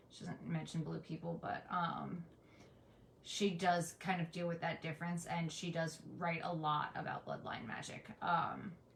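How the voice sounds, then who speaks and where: A woman's fairly low, monotone voice at a fairly slow pace, with flat intonation and audible room echo. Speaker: pagan educator, livestream host. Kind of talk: live-stream lecture with Q and A. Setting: live stream, in front of an apothecary shelf.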